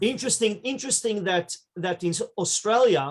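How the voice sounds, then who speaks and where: A man speaks in an Israeli accent with a high pitch. His pace is moderate and his pitch variation ordinary. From Israel, raised in New York from age 12. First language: Hebrew. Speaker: rabbi. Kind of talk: interview storytelling.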